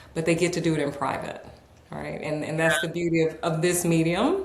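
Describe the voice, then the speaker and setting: Woman with an American accent, fairly low and flat in a monotone, at a fairly quick pace amid audible room echo and noticeable background noise. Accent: American, slight Southern words. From New York, then North Carolina. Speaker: author and executive coach. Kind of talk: podcast interview.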